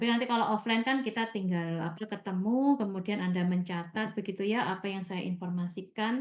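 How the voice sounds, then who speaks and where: A woman's voice at medium pitch, with ordinary pitch variation. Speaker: university lecturer. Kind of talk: online lecture. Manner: slow, deliberate explaining; loud.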